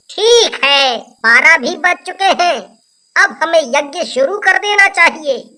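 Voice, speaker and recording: A woman performs a cartoonish character voice at an extremely high pitch. Her intonation is lively and her pace fairly slow. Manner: grave, commanding.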